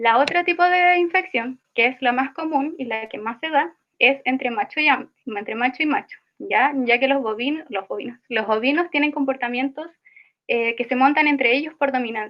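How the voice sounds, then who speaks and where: This woman has a high pitch, a moderate pace and ordinary pitch variation. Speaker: student teaching assistant. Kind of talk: online tutorial session. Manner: halting, self-correcting.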